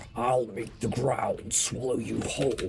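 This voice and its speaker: Putting on a character voice, a man talks at a moderate pace and medium pitch, with clear background noise. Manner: snorting, menacing.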